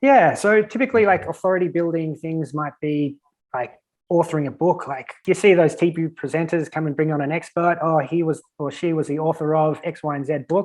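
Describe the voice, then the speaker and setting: This man has an Australian accent. His pitch is fairly high and his pace fairly quick. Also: ordinary pitch variation. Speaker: virtual event strategist. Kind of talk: podcast interview. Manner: casual, filler-heavy.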